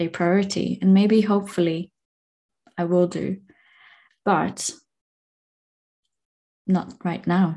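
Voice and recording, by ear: In a calm, slightly mellow tone, a woman speaks at a fairly low pitch with fairly even intonation.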